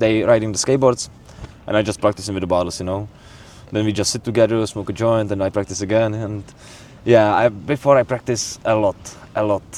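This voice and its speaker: In a Czech accent, a man talks at a fairly quick pace with fairly low pitch and fairly even intonation. Long, frequent pauses break up his speech over noticeable background noise. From Czech Republic. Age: 20s. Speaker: bartender. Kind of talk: casual chat. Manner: halting.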